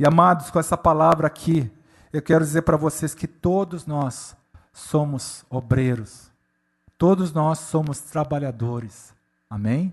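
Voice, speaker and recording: Against a quiet background, the voice comes across somewhat breathy at a fairly slow pace. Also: man, fairly high pitch for a man, ordinary pitch variation. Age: 60s. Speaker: pastor. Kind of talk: sermon.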